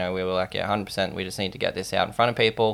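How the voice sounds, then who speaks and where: Very clean recording with a silent background, a man speaking at a fairly low pitch. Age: 20s. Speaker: startup founder. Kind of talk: interview.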